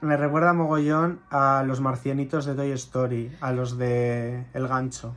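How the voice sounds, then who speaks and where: At a fairly slow pace with hardly any pauses, a man speaks at a medium pitch in a monotone, flat intonation. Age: 20s. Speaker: drag queen. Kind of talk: casual chat.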